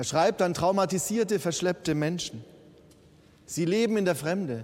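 The intonation is lively. The speaker is a man with a high pitch. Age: 50s. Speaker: bishop. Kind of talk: sermon. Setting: church.

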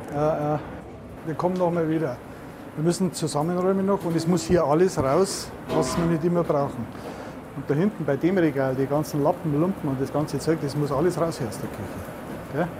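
A man talks at a moderate pace with fairly even intonation as music plays in the background. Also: fairly high pitch for a man. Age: 60s. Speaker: food safety inspector. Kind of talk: on-the-job interview.

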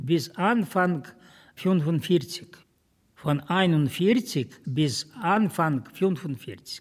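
Lively intonation marks this very slow delivery, captured in a very clean recording with a silent background. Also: man, high pitch for a man. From Ukraine. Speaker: retired school director, community board member. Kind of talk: interview testimony.

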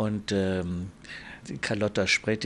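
This man has a fairly low pitch and fairly even intonation. He talks at a very slow pace. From Lower Bavaria (Landshut), raised in Munich. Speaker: nobleman. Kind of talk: interview.

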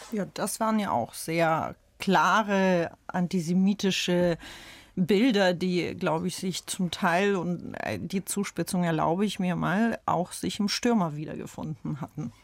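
Someone speaks very slowly in a Russian accent with ordinary pitch variation. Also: woman, fairly low pitch for a woman, very clean recording, silent background. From St. Petersburg, Russia; raised in Germany from age 11. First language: Russian (speaking German). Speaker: author. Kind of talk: radio panel discussion.

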